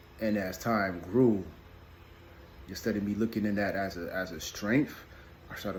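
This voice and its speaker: Soft-spoken and somewhat breathy, a man talks in a very deep, low voice. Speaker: video blogger on parenting and emotions. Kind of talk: casual vlog monologue. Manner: mumbling, halting with repetitions.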